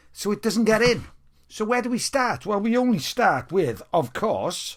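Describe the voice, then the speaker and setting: This man has a Welsh accent and a high pitch, with lively intonation and an animated tone. He keeps a moderate pace. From Wales. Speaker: music fan vlogger. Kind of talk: casual video monologue. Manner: off-the-cuff.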